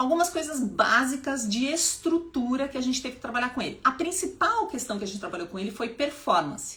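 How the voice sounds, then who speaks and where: A woman with a high pitch speaks in an animated tone at a fairly quick pace, her pitch swinging very widely. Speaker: public speaking teacher and activist. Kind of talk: live stream talk. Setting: live stream at home.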